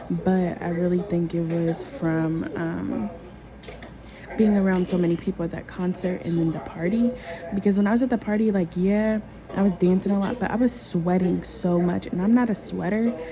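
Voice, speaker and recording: Over music in the background, a woman talks at a moderate pace in a medium pitch with ordinary pitch variation. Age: 30s. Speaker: vlogger. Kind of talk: casual talk to camera.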